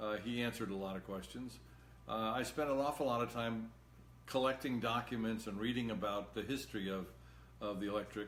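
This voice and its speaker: Talking at a fairly quick pace, a man with a medium-pitched voice uses ordinary pitch variation while room echo is audible. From Massachusetts. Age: 70s. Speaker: political candidate. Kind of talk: live-stream Q&A monologue. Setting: Facebook live video. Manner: halting.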